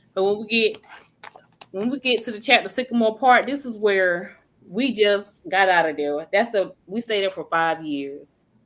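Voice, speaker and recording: At a moderate pace, a woman with a medium pitch speaks with lively intonation. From North Carolina, near Greenville. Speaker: author and housing advocate. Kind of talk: podcast interview.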